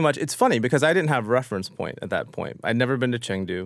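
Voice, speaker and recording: The recording is very clean, with a silent background. A man with an American accent and a plain, everyday voice speaks at a medium pitch with lively intonation. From US. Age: 40s. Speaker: chef. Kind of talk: interview.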